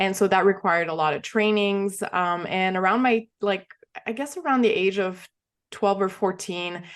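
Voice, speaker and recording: A woman with a Quebec accent speaks at a moderate pace, her medium pitch showing ordinary variation. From Quebec, small town near Montreal. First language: French. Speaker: entrepreneur, former figure skater. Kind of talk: podcast interview. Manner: hesitant, many fillers.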